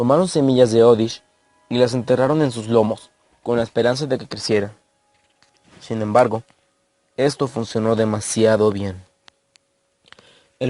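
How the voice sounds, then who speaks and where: A man's dark, mellow tone at a medium pitch and moderate pace. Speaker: creepypasta narrator. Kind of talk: horror story narration.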